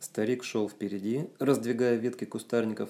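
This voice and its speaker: On a very clean recording with a silent background, a man with a fairly low voice talks at a moderate pace with fairly even intonation. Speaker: author reading his own book. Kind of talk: reading aloud. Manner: plain, not like a TV announcer; expressive intonation.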